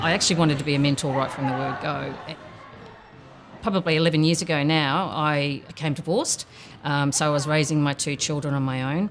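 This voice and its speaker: Music plays behind a woman with an Australian accent. Her very deep, low voice moves at a fairly quick pace with fairly even intonation. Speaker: program participant and mentor. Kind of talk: documentary interview.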